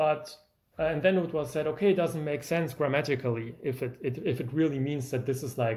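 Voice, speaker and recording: A man with a German accent speaks in a fairly high voice. His tone is somewhat breathy. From Germany. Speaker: music YouTuber, pianist. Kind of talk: video lecture with demonstration. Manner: animated.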